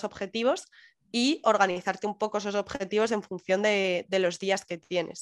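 A woman's plain, everyday voice at medium pitch and a moderate pace, with fairly even intonation, on a very clean recording with a silent background. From Madrid, Spain. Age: 20s. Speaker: digital nomad remote worker. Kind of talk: interview.

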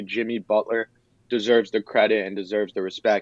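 A man with an American accent and a normal speaking voice talks at a fairly quick pace with fairly low pitch. His intonation is fairly even, and the sound is dry and close with no echo. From Philadelphia, US. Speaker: sports podcaster. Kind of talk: casual chat.

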